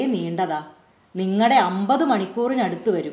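Audible room echo around a female speaker. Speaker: audiobook narrator. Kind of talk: reading aloud.

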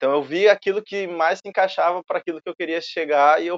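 A normal speaking voice from a man, pitched fairly high, with ordinary variation in pitch. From southern Brazil, Rio Grande do Sul (Alvorada). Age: 20s. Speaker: filmmaker and photographer. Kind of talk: casual interview chat.

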